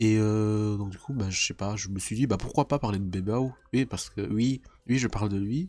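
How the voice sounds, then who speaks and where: A man with a fairly low pitch and a dark, mellow tone speaks at a fairly slow pace with ordinary pitch variation. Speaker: YouTuber reacting to videos. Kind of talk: casual reaction video monologue. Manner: stumbling over words.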